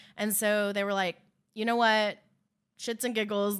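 In a very clean recording with a silent background, a woman speaks at a fairly quick pace. Her medium-pitched voice carries an animated tone. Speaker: true crime podcast co-host. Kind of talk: casual chat. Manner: animated, laughs often.

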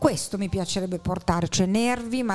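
With music in the background, this woman speaks at a moderate pace. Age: old. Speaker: podcast guest, theatre enthusiast. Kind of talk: casual chat about film.

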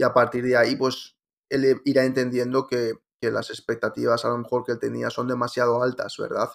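The recording is very clean, and the background is silent. A man's delivery runs fairly quick. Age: 30s. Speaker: digital marketing consultant. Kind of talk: interview.

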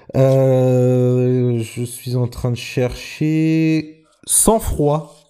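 Delivery is very slow. The pitch contour stays fairly even. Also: man, medium pitch for a man. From Normandy, France. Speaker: podcast host. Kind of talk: casual chat. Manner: halting.

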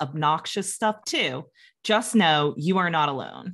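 A woman with a normal speaking voice, fairly low in pitch and fairly slow, on a very clean recording with a silent background. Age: 30s. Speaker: podcast co-host. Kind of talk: casual chat.

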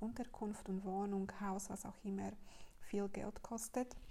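A woman with a Slovak accent speaks fairly slowly at a medium pitch, with noticeable background noise behind her. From Slovakia. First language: Slovak (speaking German). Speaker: podcaster and women's business coach. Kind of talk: casual monologue. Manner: halting, many fillers.

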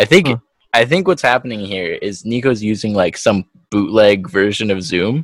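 Fairly low-pitched male speech at a moderate pace, lively in intonation, with a dry, close sound and no echo. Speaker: podcast co-host. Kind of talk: casual chat. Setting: video call. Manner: laughs often.

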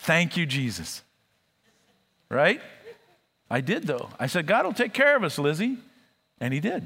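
A man speaks with a high pitch and a bright, sharp tone, his voice swinging very widely in pitch. He leaves long, frequent pauses. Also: moderate pace. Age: 60s. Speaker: pastor. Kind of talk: sermon. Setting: church.

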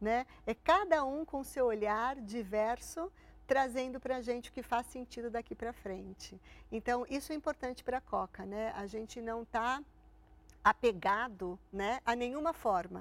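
A woman's high pitch at a fairly slow pace, with ordinary pitch variation, in a very clean recording with a silent background. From Santo André, São Paulo, Brazil. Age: 50s. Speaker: corporate relations executive. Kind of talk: interview.

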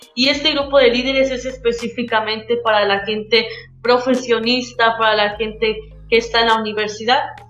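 A woman talks at a moderate pace in a fairly high, monotone, flat voice. Music plays in the background, and the room echo is audible. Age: 20s. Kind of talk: testimony.

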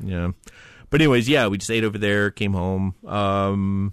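A plain, everyday voice from a man, fairly low in pitch, at a moderate pace, with a dry, close sound, no echo and a quiet background. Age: 30s. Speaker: podcast co-host. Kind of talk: casual chat.

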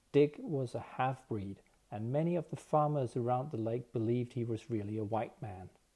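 A man's dark, mellow, somewhat breathy voice at medium pitch, with lively intonation and a moderate pace. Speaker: audiobook narrator. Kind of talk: literary audiobook reading.

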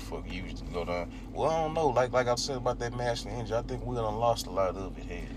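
Amid noticeable background noise and audible room echo, a man with a very deep, low voice talks very fast with very wide pitch swings. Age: 20s. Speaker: podcast co-host. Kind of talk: casual chat.

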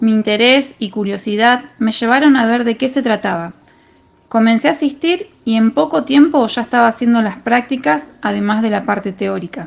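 A woman speaks in an unremarkable speaking voice with a fairly high pitch. Her intonation is lively and her pace moderate. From Argentina, Rosario. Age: 30s. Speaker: football referee. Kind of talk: testimony.

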